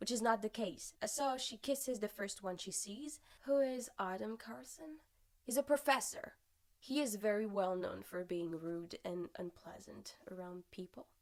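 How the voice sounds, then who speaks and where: With a French accent, a woman speaks at a fairly high pitch and a fairly slow pace, her intonation lively. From France. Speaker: singer-songwriter and book vlogger. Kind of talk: casual book review vlog.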